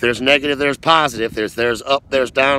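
Over noticeable background noise, a man speaks in a monotone, flat way, the sound dry with no echo. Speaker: motivational vlogger. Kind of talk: motivational talk to camera. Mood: earnest, encouraging. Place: open country. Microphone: phone near.

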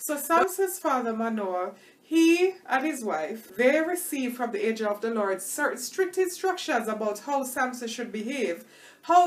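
A woman's high-pitched voice moves at a moderate pace with very wide pitch swings. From Tanzania (Dar es Salaam). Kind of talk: sermon-style teaching monologue; sermon-style vlog teaching. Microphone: webcam.

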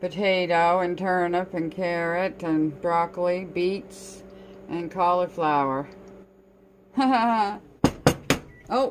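Light noise can be heard behind a woman talking. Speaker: home cooking vlogger. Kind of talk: casual vlog chat. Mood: cheerful, laughing. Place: kitchen. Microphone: phone near.

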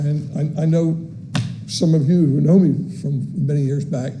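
A man with a fairly high pitch at a moderate pace, plus audible room echo and noticeable background noise. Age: 60s. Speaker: city employee speaking at public comment. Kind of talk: public comment at council meeting. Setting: city commission meeting chamber. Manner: halting, many fillers.

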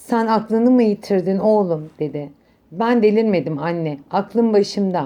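The clip features reading aloud in a natural voice with ordinary pitch variation.

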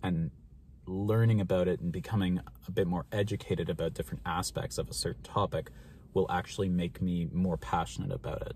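A man with a Canadian accent talks at a fairly quick pace in a very deep, low pitch, with lively intonation and vocal fry. The sound is dry with no echo, and there is light background noise. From Canada, Ontario. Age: 20s. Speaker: mental health vlogger. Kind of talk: casual vlog monologue. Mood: calm, reflective. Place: car. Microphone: phone near.

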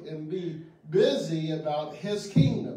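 Against light background noise and audible room echo, a man speaks at a very slow pace. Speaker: pastor. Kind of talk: sermon. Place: church.

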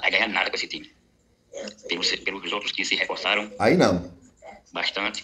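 A man at a moderate pace with long, frequent pauses, against light background noise. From Uberlândia, Minas Gerais, Brazil; Minas Gerais, Brazil. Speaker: football fan sending voice message; football fan channel host. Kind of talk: voice message. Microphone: studio mic.

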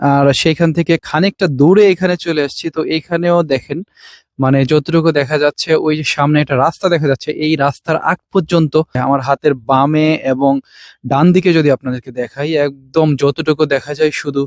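In a normal speaking voice, a man talks with fairly high pitch and fairly even intonation, captured in a very clean, dry, close recording with a silent background and no echo. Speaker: vlogger. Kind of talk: vlog walking tour. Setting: outdoors in a mustard field.

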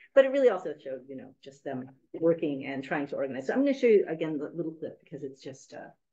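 In an American accent, a woman talks at a very fast pace in a very deep, low voice, with very wide pitch swings and big swings in loudness over a quiet background. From US West Coast, San Francisco; California. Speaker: university professor and documentary filmmaker; university professor. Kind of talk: academic lecture. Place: meeting room. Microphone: video call.

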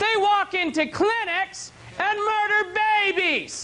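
A man shouts in an excited tone, his voice raised and projected. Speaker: televangelist. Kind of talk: TV sermon broadcast. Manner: excited, ranting, shouting. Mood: angry, indignant. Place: studio. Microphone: lapel.

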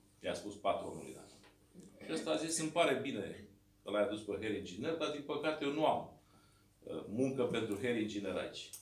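The speech runs at a fairly quick pace with lively intonation and long, frequent pauses. Audible room echo fills the recording. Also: man. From Romania, Dâmbovița county (Braniștea, rural); Romania. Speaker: mayor and political candidate; mayor, candidate. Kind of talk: campaign speech. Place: meeting room. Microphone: camera far.

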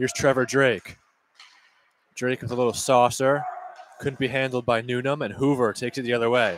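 An excited voice at a fairly quick pace, broken by long, frequent pauses, recorded dry with no echo over light background noise. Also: man. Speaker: play-by-play announcer. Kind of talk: live sports play-by-play commentary. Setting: rinkside broadcast booth in arena corner. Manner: rapid-fire, high-energy, excited on goals; clipped, continuous puck-by-puck narration. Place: stadium.

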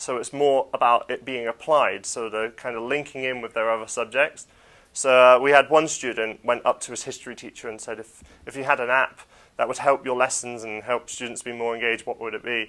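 Bright and sharp in tone, a man speaks at a fairly quick pace with monotone, flat intonation. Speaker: computing teacher. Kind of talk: interview. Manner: casual, many fillers. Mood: relaxed, friendly. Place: classroom. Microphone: lapel.

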